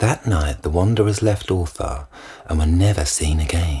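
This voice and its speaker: Somewhat breathy, a man talks at a moderate pace. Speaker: reader. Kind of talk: audiobook short story reading.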